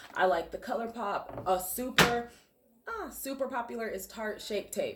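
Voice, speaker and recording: A woman talks with ordinary pitch variation against noticeable background noise. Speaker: makeup artist. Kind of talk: tutorial. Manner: fast; casual, filler-heavy.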